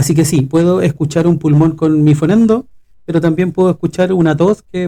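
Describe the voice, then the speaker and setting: This man has a dark, mellow tone and speaks with a Chilean accent. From Chile, Valparaíso region (Quilpué). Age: 40s. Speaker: pediatric respiratory physiotherapist, podcast co-host. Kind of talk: casual podcast conversation.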